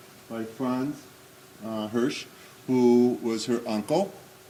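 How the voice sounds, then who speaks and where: A man talks at a medium pitch. Room echo is audible and background noise is noticeable. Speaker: Holocaust remembrance speaker. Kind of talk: commemorative talk. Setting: synagogue hall with audience. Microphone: may be speaking without microphone.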